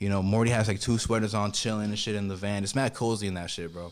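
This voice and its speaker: A man with a Miami accent on a very clean recording with a silent background. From Miami, Florida. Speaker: rapper. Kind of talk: casual chat.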